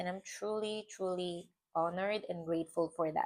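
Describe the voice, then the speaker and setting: A woman with a non-native accent speaks at a medium pitch with ordinary pitch variation. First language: not English. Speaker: vlogger. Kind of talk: personal reflection vlog. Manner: hesitant, with fillers and repetitions; slow, thoughtful.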